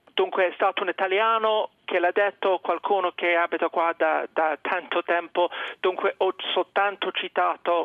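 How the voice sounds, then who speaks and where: Monotone, flat intonation marks speech delivered at a moderate pace. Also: man. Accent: English. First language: English (speaking Italian). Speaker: journalist. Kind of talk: radio interview. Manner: halting.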